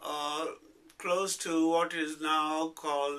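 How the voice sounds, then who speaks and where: Very slowly, a man speaks at a fairly high pitch. His intonation stays monotone and flat. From Pakistan, Punjab (Rawalpindi). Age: 70s. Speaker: retired English professor. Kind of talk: oral history interview. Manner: halting, many fillers.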